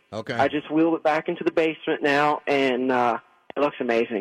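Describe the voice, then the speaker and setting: A plain, everyday voice speaks at a fairly quick pace with an American accent and ordinary pitch variation. The sound is dry and close, with no echo. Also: man. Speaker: racing driver. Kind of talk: interview.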